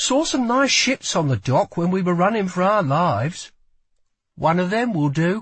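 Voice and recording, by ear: A man does a put-on character voice, high-pitched with a fairly bright tone and a slightly husky edge. His intonation is lively and his pace fairly slow.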